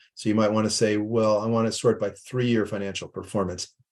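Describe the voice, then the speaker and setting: A man is speaking. The background is quiet. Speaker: nonprofit leader presenting investment research tool. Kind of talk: webinar presentation with screen demo. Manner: fast.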